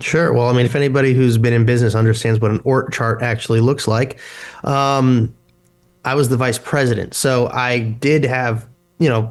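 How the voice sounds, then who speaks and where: A man speaks at medium pitch and a moderate pace, his loudness very even and his intonation monotone and flat. The recording is very clean, with a silent background. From California. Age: 30s. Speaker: political candidate. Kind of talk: interview.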